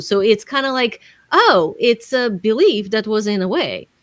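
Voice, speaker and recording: A woman with a non-native accent. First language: not English. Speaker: business coach and author. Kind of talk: podcast interview.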